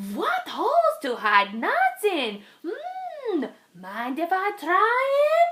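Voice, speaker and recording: At a very slow pace, a woman performs a put-on character voice pitched extremely high. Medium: read story.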